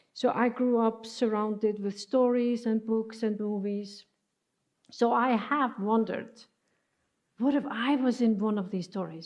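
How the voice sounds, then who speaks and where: A woman with a non-native accent speaks at a fairly slow pace and fairly high pitch, with fairly even intonation. The background is quiet. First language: not English. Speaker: preacher. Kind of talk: sermon. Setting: church. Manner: halting.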